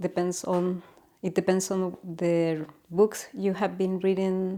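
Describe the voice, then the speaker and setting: A woman with a Chilean Spanish accent speaks at a very slow pace in a medium pitch. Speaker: natural health educator. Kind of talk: informal explainer talk. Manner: halting, with many fillers.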